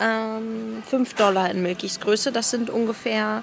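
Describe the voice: A woman's fairly high voice with vocal fry, fairly even intonation and a fairly slow pace, over faint background noise.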